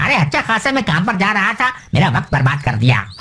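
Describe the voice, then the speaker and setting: Over clear background noise, a man in a cartoonish character voice races along at a very fast pace, his high pitch making very wide swings. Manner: vague, then grumbling.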